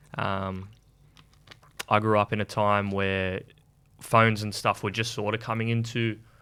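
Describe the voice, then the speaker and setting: Speaking with an Australian accent, a man uses a fairly low pitch and a bright, sharp tone. His delivery is fairly slow and monotone, with flat intonation and long, frequent pauses. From Sydney, Australia (western suburbs). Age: 20s. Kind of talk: radio interview. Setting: radio studio.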